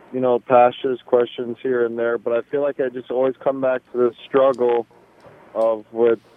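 Delivered at a moderate pace, a man's medium-pitched speech in an American accent stays monotone and flat. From Los Angeles. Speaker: caller. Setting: phone call.

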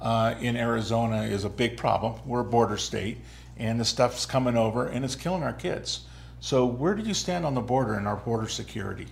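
With an unremarkable speaking voice, a man talks at a fairly quick pace, medium in pitch with ordinary pitch variation. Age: 60s. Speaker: talk show host. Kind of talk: interview. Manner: casual, laughs often.

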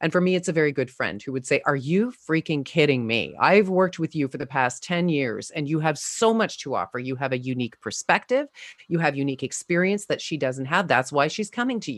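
A woman with a very deep, low voice talks with lively intonation and hardly any pauses. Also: fairly quick pace. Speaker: communications coach and actor. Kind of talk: interview conversation. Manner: strong, not quiet.

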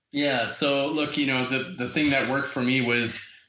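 A man talks at a moderate pace. Audible room echo is heard around him. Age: 40s. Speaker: tech entrepreneur. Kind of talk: interview. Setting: phone or video call.

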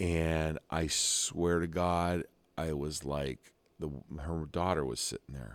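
With an American accent and a very deep, low pitch, a man speaks at a very slow pace with fairly even intonation. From Ohio. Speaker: sound engineer and musician, podcast host. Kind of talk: casual chat.

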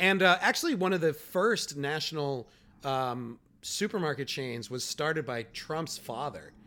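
In a Chicago accent, a man talks at a fairly slow pace with a fairly high pitch, a bright, sharp tone and lively intonation. The recording is very clean, with a silent background. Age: 40s. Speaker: comedian podcast co-host. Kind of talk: casual chat.

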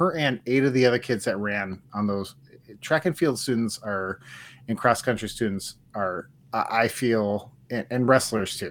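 A man with an American accent, medium in pitch, bright and sharp in tone, at a fairly slow pace with ordinary pitch variation. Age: 40s. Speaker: sports podcast co-host. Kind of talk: casual chat.

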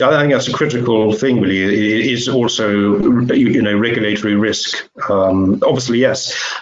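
Speaking at a moderate pace with very even loudness and fairly even intonation, a man has a plain, everyday voice at a medium pitch. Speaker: editor and webinar host. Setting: online webinar.

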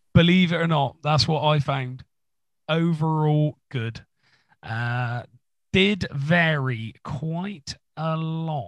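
A man speaks with an English accent. His pitch varies an ordinary amount. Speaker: music podcast co-host. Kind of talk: casual chat. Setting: home recording room.

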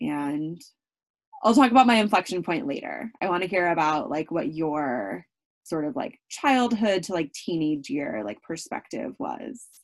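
The voice moves at a fairly slow pace. Its pitch swings very widely. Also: woman, fairly low pitch for a woman. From rural California, US. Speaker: podcast co-host, former international development worker. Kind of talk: casual chat.

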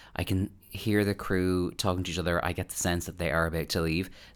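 A man with a Dublin accent speaks at a very deep, low pitch on a very clean recording with a silent background. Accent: Irish (Dublin). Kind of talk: casual chat. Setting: home recording late at night. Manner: soft-spoken.

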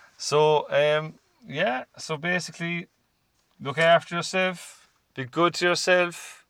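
With a Cork accent, a bright, sharp voice speaks at a very slow pace and with fairly even intonation. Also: man, high pitch for a man. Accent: Cork Irish. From Ireland, Cork. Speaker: podcast host. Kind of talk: casual chat.

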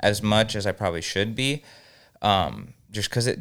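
In a normal speaking voice with a fairly low pitch, a man with an American accent talks at a moderate pace with fairly even intonation, recorded very cleanly against a silent background. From Southern California, Inland Empire (Norco). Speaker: music studio owner. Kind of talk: casual chat.

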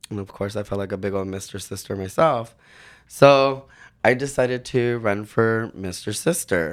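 The recording is very clean, with a silent background. An unremarkable speaking voice moves at a moderate pace with ordinary pitch variation and big swings in loudness. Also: man, fairly low pitch for a man. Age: 40s. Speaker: leather titleholder. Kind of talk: casual chat.

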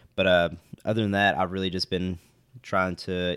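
Recorded very cleanly against a silent background, a man with an Appalachian accent speaks in a very deep, low pitch with monotone, flat intonation. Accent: Appalachian Kentucky. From West Liberty, eastern Kentucky. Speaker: bourbon enthusiast, podcast co-host. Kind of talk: casual chat.

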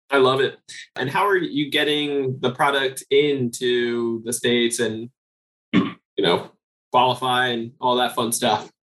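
A man speaks at a medium pitch in an unremarkable speaking voice. His intonation stays fairly even and his pace is fairly slow. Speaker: podcast host. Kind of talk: casual interview chat.

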